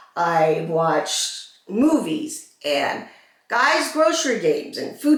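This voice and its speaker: Heard with audible room echo, a woman's fairly high voice carries vocal fry and very wide pitch swings. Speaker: vlogger with cancer. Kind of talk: get-ready-with-me vlog. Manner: slow, slightly slurred; halting, searching for words.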